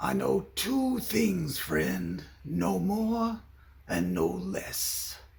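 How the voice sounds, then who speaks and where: A man performs a raspy, put-on character voice at a very slow pace with audible echo. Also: very even loudness. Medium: short film. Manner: oddly crooning, stilted.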